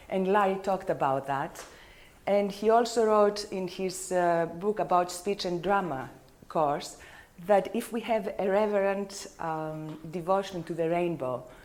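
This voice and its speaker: Audible room echo surrounds a woman speaking at a medium pitch and a fairly slow pace. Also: ordinary pitch variation. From Greece. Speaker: color therapist. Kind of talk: lecture. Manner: halting.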